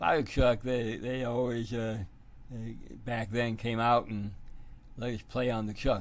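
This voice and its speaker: Audible room echo surrounds a man's medium-pitched voice. He talks at a very slow pace. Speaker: math teacher. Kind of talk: tutorial. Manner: halting, many fillers.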